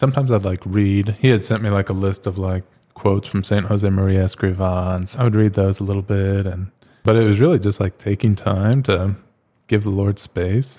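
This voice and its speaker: In an American accent, a man speaks at a moderate pace with fairly even intonation. His voice is fairly low in pitch, with a dark, mellow tone. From US Southwest, Phoenix, Arizona. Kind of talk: casual chat.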